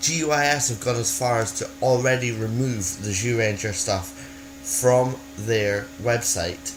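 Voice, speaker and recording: A fairly slow delivery in a Scottish accent with very wide pitch swings, amid noticeable background noise and audible room echo. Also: man, medium pitch for a man. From Scotland. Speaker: video blogger. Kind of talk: casual vlog. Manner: halting, many fillers and restarts.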